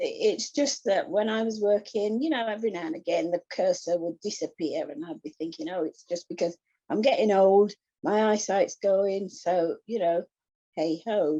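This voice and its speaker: Speaking at a moderate pace with an English accent, a woman uses lively intonation and a dark, mellow tone in a dry, close sound with no echo. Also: medium pitch for a woman. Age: 60s. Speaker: retired administrator and glaucoma patient. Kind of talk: personal testimony in an online support group.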